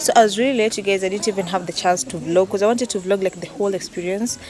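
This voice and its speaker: A woman's voice with ordinary pitch variation, set against noticeable background noise. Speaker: vlogger. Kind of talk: casual vlog talk to camera. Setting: at home.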